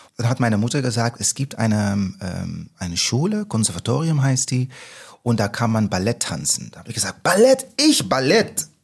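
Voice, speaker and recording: Somewhat breathy and at a moderate pace, the voice has lively intonation and big swings in loudness, in a very clean recording with a silent background. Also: man, medium pitch for a man. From Netherlands. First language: Dutch (speaking German). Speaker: musical actor. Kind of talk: casual chat.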